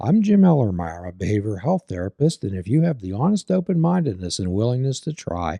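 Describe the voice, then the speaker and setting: On a very clean recording with a silent background, a man's dark, mellow voice comes through dry and close with no echo. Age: 70s. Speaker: podcast host and behavioral health therapist. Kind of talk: casual interview.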